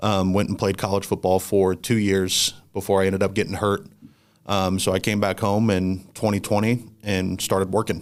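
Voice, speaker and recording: Man with a Midwestern American accent, fairly low pitch, flat monotone delivery, moderate pace and very even loudness, on a very clean recording with a silent background. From Indiana (central, near Anderson). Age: 20s. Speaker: ministry worker with student athletes. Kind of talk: interview conversation.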